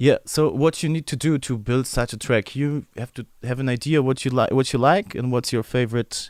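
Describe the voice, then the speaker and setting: On a very clean recording with a silent background and a dry, close sound without echo, a man with a German accent speaks at medium pitch and a moderate pace, with ordinary pitch variation. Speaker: music producer. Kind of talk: livestream tutorial. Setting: livestream. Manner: halting.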